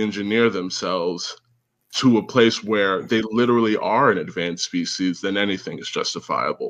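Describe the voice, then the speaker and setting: A man with an American accent talks at a medium pitch in a plain, everyday voice. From United States. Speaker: caller. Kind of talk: casual chat.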